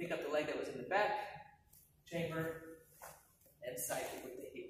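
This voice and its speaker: With audible room echo and light background noise, a man talks at a moderate pace. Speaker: martial arts instructor. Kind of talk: tutorial. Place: gym. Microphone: camera far.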